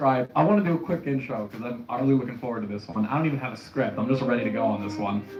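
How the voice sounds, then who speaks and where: A man speaks in an animated tone with lively intonation. There is noticeable background noise. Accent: American. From New Jersey, near New York City. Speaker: political commentary streamer. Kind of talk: unscripted monologue. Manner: casual, animated.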